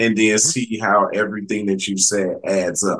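A man is speaking. His pitch sits fairly low. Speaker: podcast host. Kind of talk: casual interview chat.

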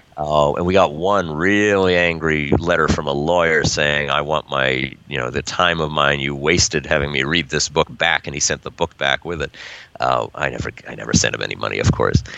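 A man with a very deep, low voice at a moderate pace, over noticeable background noise. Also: fairly even intonation. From New York. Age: 40s. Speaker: crime fiction writer and publisher. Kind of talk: interview.

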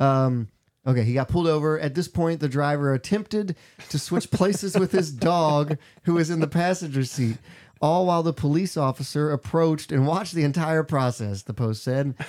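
This man has a normal speaking voice, pitched fairly high. He talks at a moderate pace with ordinary pitch variation. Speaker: podcast co-host. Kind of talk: casual chat.

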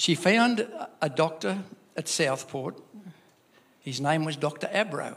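A man with an Australian accent talks at a fairly high pitch. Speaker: church member. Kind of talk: testimony. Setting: church. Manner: halting.

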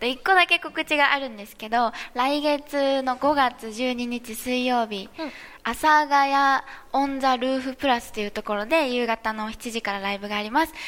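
Her loudness swinging widely, a woman speaks at a moderate pace in a high pitch with ordinary pitch variation. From Miyazaki, Japan. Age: 20s. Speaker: singer-songwriter. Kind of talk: casual chat. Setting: studio with live audience.

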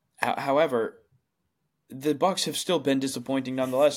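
On a very clean recording with a silent background, a man with a plain, everyday voice and a fairly high pitch speaks at a fairly quick pace. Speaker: podcast host. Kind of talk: casual chat.

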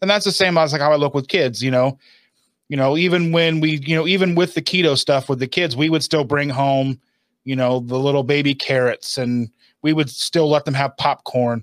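In a very clean recording with a silent background and a dry, close sound with no echo, a man with an unremarkable speaking voice talks at a moderate pace, his pitch fairly high with ordinary variation. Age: 40s. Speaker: keto lifestyle video creator. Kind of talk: casual interview.

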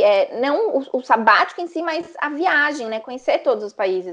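Very wide pitch swings over a quiet background. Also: woman. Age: 20s. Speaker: travel influencer. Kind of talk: casual chat.

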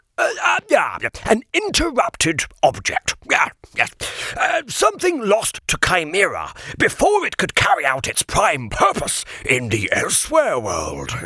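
A man puts on a character voice at a fairly slow pace, the sound dry and close with no echo. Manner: formal, scolding, weary.

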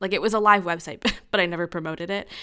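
Talking at a very fast pace, a woman with a medium-pitched, bright, sharp voice uses lively intonation. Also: very clean recording, silent background. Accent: American. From United States. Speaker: podcast host. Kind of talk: interview conversation. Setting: home basement recording.

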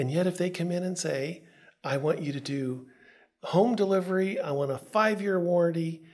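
Pausing long and often, a man with an American accent talks in a high pitch with ordinary pitch variation. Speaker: radio podcast host. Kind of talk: podcast hosting, interview. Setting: studio.

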